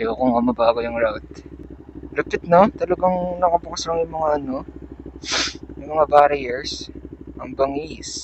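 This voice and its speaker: A man speaks at a moderate pace and a fairly high pitch, with ordinary pitch variation and big swings in loudness. Long, frequent pauses break up his speech against noticeable background noise. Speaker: motovlogger. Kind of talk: casual vlog narration while riding. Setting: riding a motorcycle on an expressway at night.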